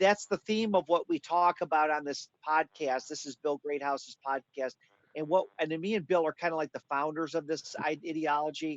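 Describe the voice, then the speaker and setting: Fairly even intonation marks an ordinary speaking voice, heard with a dry, close sound and no echo. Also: man, fairly high pitch for a man, moderate pace. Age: 40s. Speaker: podcast co-host. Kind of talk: casual chat. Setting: livestream.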